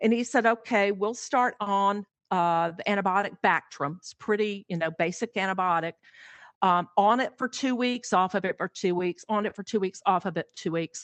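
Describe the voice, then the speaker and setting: A woman at a moderate pace with an ordinary speaking voice. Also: medium pitch for a woman, ordinary pitch variation. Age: 60s. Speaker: pet sitter. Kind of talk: interview conversation.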